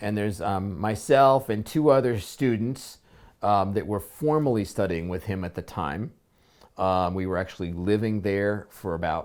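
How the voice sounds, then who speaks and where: A man at a fairly slow pace, fairly low in pitch with ordinary pitch variation, on a very clean recording with a silent background. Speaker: spiritual teacher. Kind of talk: personal story told unedited. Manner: hesitant, many pauses and filler words.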